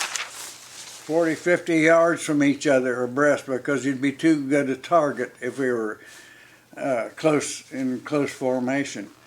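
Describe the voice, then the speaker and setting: Over noticeable background noise, a man with a fairly high voice talks fairly slowly with fairly even intonation. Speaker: World War II Navy veteran. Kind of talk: interview answer. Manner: hesitant, halting.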